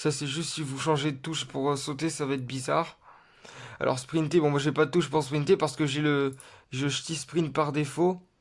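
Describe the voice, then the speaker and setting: On a very clean recording with a silent background, a man with a fairly high pitch and vocal fry speaks at a moderate pace with fairly even intonation. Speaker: gaming youtuber. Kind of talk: tutorial. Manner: halting.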